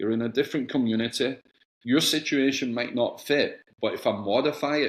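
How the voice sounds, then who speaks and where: With a Scottish accent, a man talks at a fairly quick pace in fairly even intonation. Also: medium pitch for a man. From Scotland, Glasgow, raised partly in England. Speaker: soccer club executive, former player. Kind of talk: casual interview chat.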